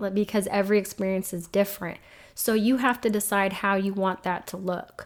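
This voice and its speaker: The voice is an ordinary speaking voice, moving at a fairly quick pace. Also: woman. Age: 30s. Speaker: single mom, navy veteran, criminal justice professional. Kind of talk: casual interview.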